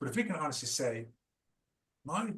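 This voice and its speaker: A man with an Irish accent talks at a fairly quick pace, somewhat breathy, with lively intonation. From Ireland. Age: 50s. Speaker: founder of a trauma recovery program. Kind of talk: interview. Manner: animated; halting.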